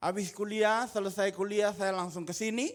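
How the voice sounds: The pace is fairly slow, and the recording is very clean with a silent background.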